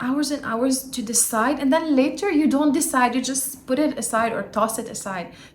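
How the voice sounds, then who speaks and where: Speaking with a Lebanese accent, a woman uses a high pitch and ordinary pitch variation. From Lebanon. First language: not English (English is third language). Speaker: YouTuber, self-help vlogger. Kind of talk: casual vlog monologue. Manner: occasional hesitations and fillers.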